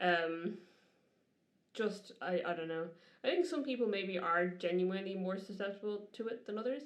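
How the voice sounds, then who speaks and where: A woman in an Irish accent, medium in pitch with ordinary pitch variation, at a moderate pace with long, frequent pauses, in audible room echo. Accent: Irish, noticeable. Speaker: podcast co-host. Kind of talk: casual chat.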